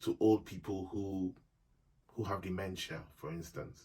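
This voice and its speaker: Speaking at a fairly slow pace, a man has a very deep, low pitch. His voice is dark, mellow and somewhat breathy. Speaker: YouTube vlogger. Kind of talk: casual advice monologue.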